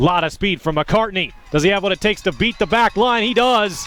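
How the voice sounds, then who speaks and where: A man with lively intonation speaks at a moderate pace in a plain, everyday voice. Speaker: sports play-by-play broadcaster. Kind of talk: rugby play-by-play highlights.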